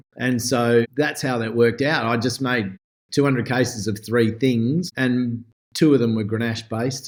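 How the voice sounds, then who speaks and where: With an Australian accent, this man talks in fairly even intonation. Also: medium pitch for a man, moderate pace. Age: 60s. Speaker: winemaker. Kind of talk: podcast interview. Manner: casual.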